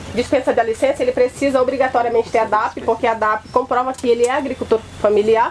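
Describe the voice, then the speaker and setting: A woman at a high pitch with fairly even intonation, over noticeable background noise. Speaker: rural extension agent. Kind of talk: presentation at a symposium. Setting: field day event with audience. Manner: fast.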